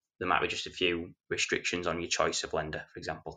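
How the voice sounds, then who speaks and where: Against a quiet background, a man with a Yorkshire accent talks at a fairly quick pace. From Yorkshire, England. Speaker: mortgage advisor and landlord. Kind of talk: casual podcast interview.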